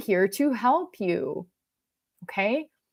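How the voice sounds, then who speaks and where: A woman with a Canadian accent lets her pitch swing very widely. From Quebec, rural anglophone village. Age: 40s. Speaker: self-help speaker. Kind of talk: motivational talk. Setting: livestream. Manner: rambling, halting.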